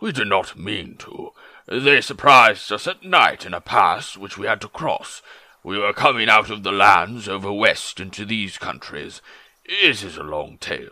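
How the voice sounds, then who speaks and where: A man puts on a character voice. It sits fairly low in pitch. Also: moderate pace. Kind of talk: dramatic book reading in a character voice. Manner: polite, tactful, a little evasive.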